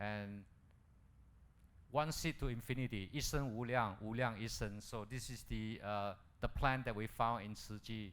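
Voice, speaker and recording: Long, frequent pauses break up speech at a moderate pace with fairly even intonation and audible room echo. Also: man, medium pitch for a man. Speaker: dentist doing medical missions. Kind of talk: lecture.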